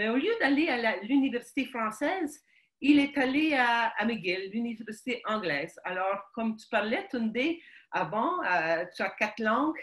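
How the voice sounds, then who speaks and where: Her pitch swings very widely. The woman talks at a fairly slow pace. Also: fairly high pitch for a woman, quiet background. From Quebec, Montreal (Ukrainian family). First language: Ukrainian (speaking French). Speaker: guest sharing life story. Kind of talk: interview testimony. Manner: halting, many hesitations.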